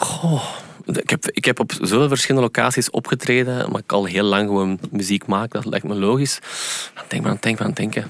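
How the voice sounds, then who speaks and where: A man with a fairly low pitch at a fairly quick pace, ordinary pitch variation, a dry, close sound with no echo, and noticeable background noise. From Flanders, Belgium. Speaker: singer and pianist. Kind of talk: casual interview. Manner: halting, many fillers and repetitions.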